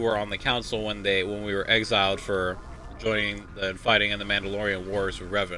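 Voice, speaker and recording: Over noticeable background noise, a man with a fairly low voice speaks very fast. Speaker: gaming streamer. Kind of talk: let's play commentary. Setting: home stream, window open. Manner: loud.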